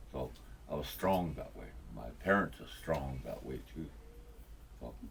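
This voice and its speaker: Speaking with a Lakota accent, a man uses a very deep, low pitch and lively intonation at a fairly slow pace. His loudness swings widely, and room echo is audible. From Pine Ridge, South Dakota. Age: 70s. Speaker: elder. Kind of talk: interview. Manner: halting.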